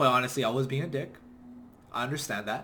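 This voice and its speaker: This is a man's voice. He speaks loudly. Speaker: online business coach. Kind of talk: motivational talk. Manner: passionate.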